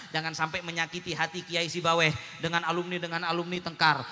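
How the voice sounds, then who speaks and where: Loud and very fast, a man speaks in a high pitch with monotone, flat intonation over noticeable background noise. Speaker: Islamic preacher. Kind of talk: sermon.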